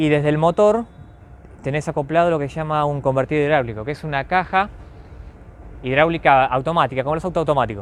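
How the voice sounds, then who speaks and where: The speech comes at a very fast pace, broken by long, frequent pauses. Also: man, fairly high pitch for a man, ordinary pitch variation. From Argentina, Buenos Aires area. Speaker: railway club volunteer. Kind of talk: interview. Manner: halting.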